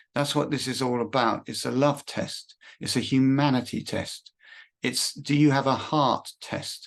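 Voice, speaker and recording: Against a quiet background, a man with an English accent speaks at a medium pitch and a fairly slow pace, keeping his intonation fairly even. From Britain (England). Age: 60s. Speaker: religious prophecy video maker. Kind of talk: monologue. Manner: halting, many repetitions.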